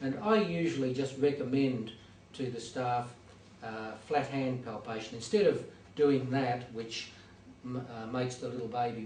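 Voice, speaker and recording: Speech at a fairly slow pace with fairly even intonation comes through noticeable background noise and audible room echo. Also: man. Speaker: hospital doctor. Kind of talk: lecture. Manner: hesitant, many fillers.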